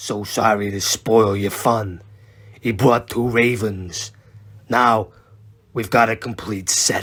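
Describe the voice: Using a raspy, put-on character voice at a medium pitch, a man talks at a fairly slow pace with long, frequent pauses.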